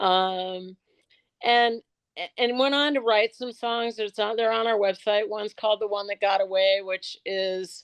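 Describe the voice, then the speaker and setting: This woman has a medium pitch and an ordinary speaking voice. She talks at a moderate pace with fairly even intonation. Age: 60s. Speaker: suicide prevention nonprofit founder. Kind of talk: interview.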